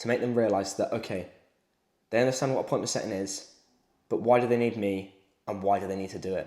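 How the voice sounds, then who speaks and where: A man with a British accent speaks at a very fast pace. His pitch is medium, with ordinary variation. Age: 20s. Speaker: sales coach. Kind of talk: motivational talk to camera.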